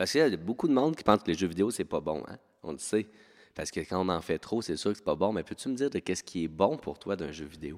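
Very deep and low, a man's voice races at a very fast pace with an animated tone and very wide pitch swings on a very clean recording with a silent background. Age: 30s. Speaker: teacher. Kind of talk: casual chat.

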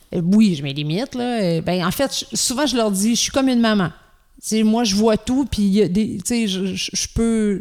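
Speaking at a fairly slow pace, a woman shows ordinary pitch variation. Her pitch sits fairly high. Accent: Quebec. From Quebec, Gaspésie. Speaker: children's rock musician. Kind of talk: casual interview chat.

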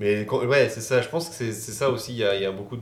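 Somewhat breathy, a man speaks at a moderate pace amid audible room echo. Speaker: YouTuber. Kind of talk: casual chat.

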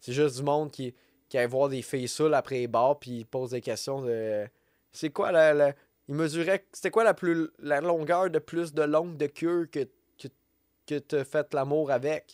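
A man with a fairly high pitch talks at a fairly slow pace with long, frequent pauses and ordinary pitch variation, in a dry, close sound with no echo. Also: very clean recording, silent background. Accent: Quebec. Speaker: podcast host. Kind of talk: solo podcast monologue. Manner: rambling, many fillers and restarts. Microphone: new podcast microphone.

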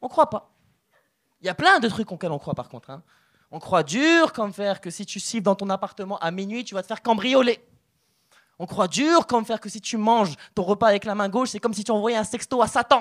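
A man with a high-pitched voice talks at a fairly quick clip in an animated tone, his loudness swinging widely, on a very clean recording with a silent background. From Morocco. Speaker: stand-up comedian. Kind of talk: stand-up. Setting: stage with audience.

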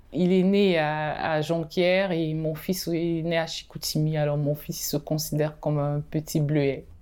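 A woman's very deep, low pitch with a dark, mellow tone, monotone, flat intonation, a fairly slow pace and hardly any pauses, in a very clean recording with a silent background. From Cameroon and Benin. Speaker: painter and art therapist. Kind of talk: interview testimony. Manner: halting.

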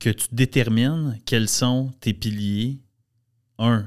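A man speaks at a very slow pace with a Quebec accent. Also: very clean recording, silent background. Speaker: entrepreneur. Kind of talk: casual chat.

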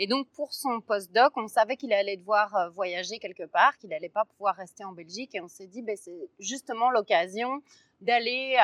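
The sound is dry and close, with no echo, as a woman with a plain, everyday voice speaks at a moderate pace. Her pitch is fairly high, with ordinary pitch variation. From Brussels, Belgium. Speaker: actress and playwright. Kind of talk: casual chat. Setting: outdoors.

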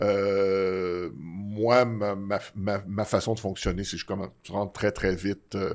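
On a very clean recording with a silent background, a man speaks with a Quebec accent. His pitch is fairly low and his intonation is monotone and flat. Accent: Québécois French. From Quebec (Laval). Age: 60s. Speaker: comedy TV writer. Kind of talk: casual interview. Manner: halting, many repeated words.

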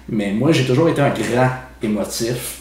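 A man's medium-pitched voice at a fairly slow pace, fairly even in intonation, with noticeable background noise and audible room echo. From Quebec City, Quebec. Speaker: podcast co-host. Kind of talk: casual chat.

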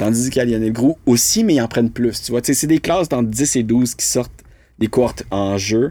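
A man with a plain, everyday voice speaks at medium pitch and a moderate pace, with ordinary pitch variation. The recording is very clean, with a silent background. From Quebec, north shore of Montreal. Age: 30s. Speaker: actor. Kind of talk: casual chat. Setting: studio.

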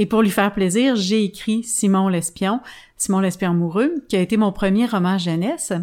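A woman talks at a moderate pace with very even loudness, in an unremarkable speaking voice. Her pitch is medium, with ordinary variation. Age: 50s. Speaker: children's author. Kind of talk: interview.

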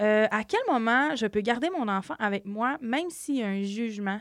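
A plain, everyday voice speaks at a moderate pace with lively intonation in a very clean recording with a silent background. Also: woman. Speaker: podcast host, community family worker. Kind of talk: interview.

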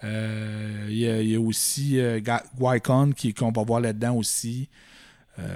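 With a Quebec accent, the speaker goes very slowly in a dark, mellow tone, flat and monotone in intonation, very even in loudness, with long, frequent pauses. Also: man, medium pitch for a man. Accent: Québécois French. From Quebec, Fermont (Côte-Nord). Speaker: Star Wars collector and exhibition worker. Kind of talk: casual chat.

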